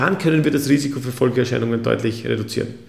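Lively intonation with vocal fry and audible room echo. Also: man. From Austria. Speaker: physician. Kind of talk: interview. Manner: formal.

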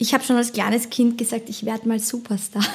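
Noticeable background noise sits behind a woman's voice. She speaks with a fairly high pitch and fairly even intonation. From German-speaking, bilingual with American father. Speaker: singer-songwriter. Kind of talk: casual chat.

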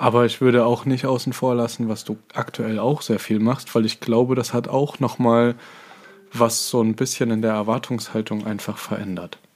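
A man's medium-pitched voice comes at a moderate pace in a monotone, flat delivery, with noticeable background noise. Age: 20s. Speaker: dance competition judge and podcast co-host. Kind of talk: casual chat.

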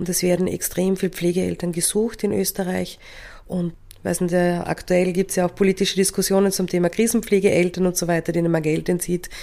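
A woman's dark, mellow tone at a fairly quick pace, flat and monotone in intonation. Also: fairly low pitch for a woman. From Austria, Carinthia. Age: 40s. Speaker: adoptive mother. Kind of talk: podcast interview.

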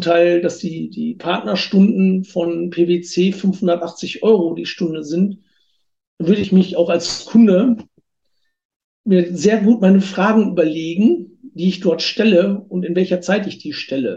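Very slow and fairly even in intonation, a man speaks at a high pitch with a dark, mellow tone. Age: 40s. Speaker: tax advisor and auditor. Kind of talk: interview. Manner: hesitant, many fillers.

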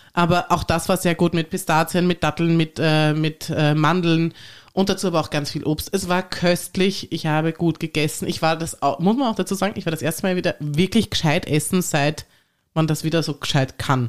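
A woman speaks at a moderate pace in an ordinary speaking voice, fairly low in pitch with fairly even intonation, on a very clean recording with a silent background. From Tyrol, Austria. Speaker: podcast host. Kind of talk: casual chat.

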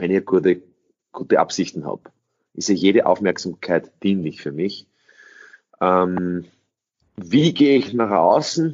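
A man speaks in a very deep, low voice with lively intonation. He goes at a fairly slow pace, with long, frequent pauses. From Austria. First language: English (speaking German). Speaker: sales trainer. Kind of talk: interview.

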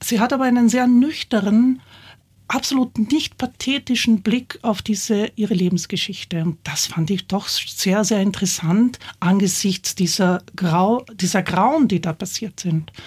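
Somewhat breathy, a woman of medium pitch speaks at a fairly slow pace with ordinary pitch variation on a very clean recording with a silent background. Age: 60s. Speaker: theatre director. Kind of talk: interview. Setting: studio.

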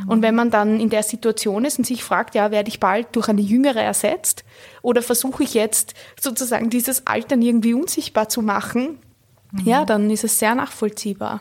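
Talking at a fairly quick pace, a woman with a plain, everyday voice holds a fairly high pitch and fairly even intonation. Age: 30s. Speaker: cultural studies scholar and author. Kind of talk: interview.

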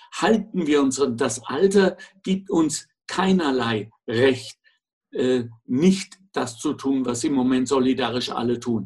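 Somewhat breathy, a man speaks at a very slow pace in a medium pitch with lively intonation. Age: 60s. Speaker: podcast co-host. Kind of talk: casual chat.

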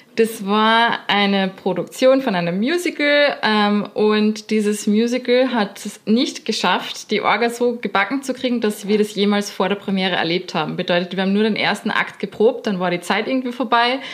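Here a woman speaks with an Austrian accent at a moderate pace, with hardly any pauses. Her pitch is fairly high, with ordinary variation. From Austria, Linz. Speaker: professional dancer. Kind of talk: casual interview.

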